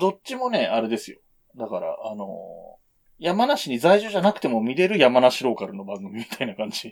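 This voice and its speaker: A man with a fairly high pitch talks at a moderate pace, his voice full of vocal fry, very wide pitch swings and big swings in loudness. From Japan, Yamanashi. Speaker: podcast co-host. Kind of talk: casual chat.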